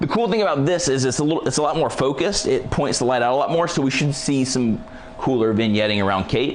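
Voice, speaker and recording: Over light background noise, a man with a fairly high pitch talks at a fairly quick pace in an energetic tone with lively intonation. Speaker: photography lighting presenter; presenter. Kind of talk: live tutorial. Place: studio.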